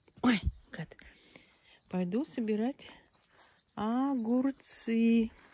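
A woman's dark, mellow, somewhat breathy voice at a fairly high pitch, in a dry sound with no echo. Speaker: village vlogger. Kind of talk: casual video tour. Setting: outdoors. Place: garden. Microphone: phone near.

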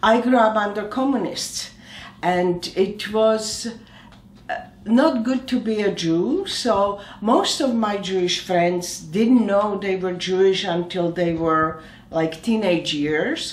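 With audible room echo around her, a woman talks very slowly. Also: medium pitch for a woman, ordinary pitch variation. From Slovakia. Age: 70s. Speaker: oncologist. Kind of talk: interview answer. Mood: warm, reflective, smiling. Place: home room.

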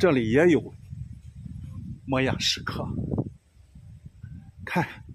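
Over noticeable background noise and a dry sound with no echo, a man speaks at a very slow pace with long, frequent pauses. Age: 70s. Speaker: solo road-tripper; solo travel vlogger. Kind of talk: travel vlog narration. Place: open country. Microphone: phone near.

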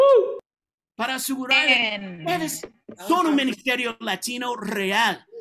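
A man's raised, projected voice sits at an extremely high pitch, with lively intonation and big swings in loudness over light background noise. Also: fairly slow pace. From California. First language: English (speaking Spanish). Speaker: preacher. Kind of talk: sermon. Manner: animated; halting. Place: home room. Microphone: webcam.

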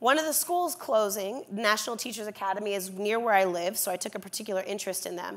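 A woman at a very fast pace with lively intonation, hardly any pauses, and a very clean recording over a silent background. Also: medium pitch for a woman. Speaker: sociologist of education. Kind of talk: panel remarks with storytelling. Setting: stage with audience.

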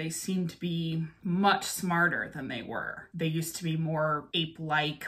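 Here is a woman with a normal speaking voice and a fairly low pitch. She talks at a moderate pace with fairly even intonation. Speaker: reaction video host. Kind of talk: casual vlog chat. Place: home room.

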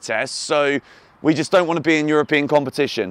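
A man speaks with an English accent. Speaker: football YouTuber and club fan. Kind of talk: fan video rant. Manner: animated; exasperated.

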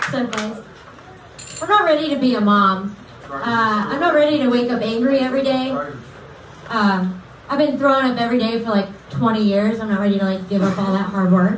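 A woman speaks at a moderate pace and fairly high pitch, her intonation lively. The room echo is audible, and there is light background noise. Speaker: comedian. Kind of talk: stand-up. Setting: stage with audience. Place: stage.

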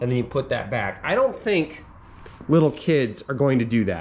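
The man's speech moves at a moderate pace. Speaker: dad reviewing a mini bike. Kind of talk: tutorial. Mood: relaxed, mildly critical. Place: garage. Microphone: phone near.

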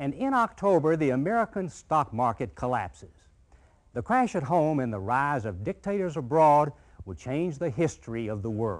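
Over a quiet background, a man talks at a moderate pace with very wide pitch swings. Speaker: documentary narrator. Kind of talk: documentary narration. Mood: calm, authoritative. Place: studio.

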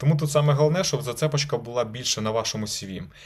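At a very fast pace, a man speaks in a somewhat breathy, medium-pitched voice with ordinary pitch variation. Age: 20s. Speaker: lawyer. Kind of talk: video blog advice talk. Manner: casual.

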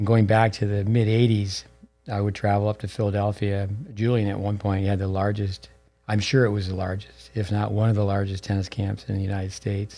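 The voice has a dark, mellow tone and moves at a fairly quick pace with flat, monotone intonation. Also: man, fairly low pitch for a man. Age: 60s. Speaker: tennis coach and podcast host. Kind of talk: casual interview. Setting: studio at a tennis center. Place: studio. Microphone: studio mic.

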